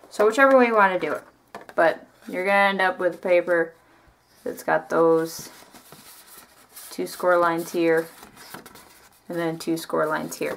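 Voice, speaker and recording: Speech comes at a moderate pace with ordinary pitch variation and long, frequent pauses. Noticeable background noise runs underneath. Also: woman, fairly low pitch for a woman. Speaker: craft youtuber. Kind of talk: tutorial. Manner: casual, chatty.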